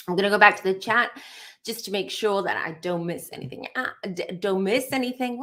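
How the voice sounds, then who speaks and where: Using a put-on character voice, a woman speaks at a fairly quick pace in a raspy tone at a medium pitch. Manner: stammering, repeating words.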